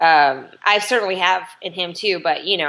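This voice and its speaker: A bright, sharp tone with an American accent at a fairly slow pace. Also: woman. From US West Coast, Los Angeles. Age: 30s. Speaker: comedy writer and documentary maker. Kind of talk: podcast interview. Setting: video call.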